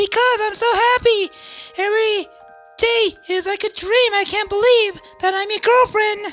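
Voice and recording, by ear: In a put-on, squeaky character voice pitched extremely high, a woman speaks with monotone, flat intonation while faint music plays in the background. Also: moderate pace.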